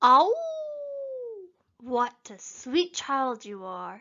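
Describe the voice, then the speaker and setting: This woman's voice is high-pitched. She is doing a put-on character voice. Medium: read story. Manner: growling, falsely gentle.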